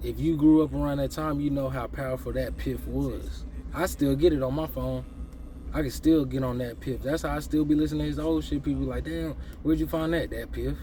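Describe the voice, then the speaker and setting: A man's fairly quick delivery rings with audible room echo. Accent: American. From Texas, Dallas. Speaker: music commentator, rapper. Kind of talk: casual monologue music review. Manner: animated.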